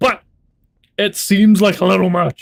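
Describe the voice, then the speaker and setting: A man is heard in a very clean recording with a silent background. The sound is dry and close with no echo. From New Zealand. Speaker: livestreamer. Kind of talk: casual chat. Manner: casual, hesitant with fillers.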